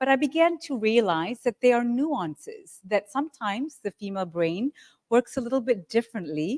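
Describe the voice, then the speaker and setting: A woman's normal speaking voice with lively intonation at a moderate pace. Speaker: psychologist and author. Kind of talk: lecture.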